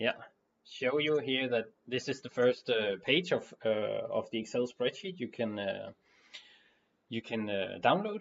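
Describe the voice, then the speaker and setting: In a non-native accent, a man speaks at a medium pitch and a fairly slow pace. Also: lively intonation. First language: not English. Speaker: board game designer. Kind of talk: tutorial. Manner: halting, many fillers.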